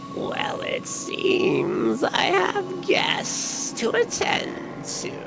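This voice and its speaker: Against loud background noise, a man does a put-on character voice at an extremely high pitch and a very slow pace. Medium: actual play.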